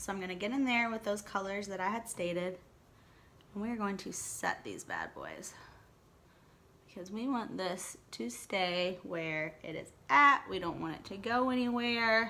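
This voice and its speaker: In a room with audible echo, a woman speaks fairly slowly at a medium pitch, her tone bright and sharp with ordinary pitch variation. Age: 30s. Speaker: beauty vlogger. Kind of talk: makeup tutorial. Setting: home dining room. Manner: casual, chatty.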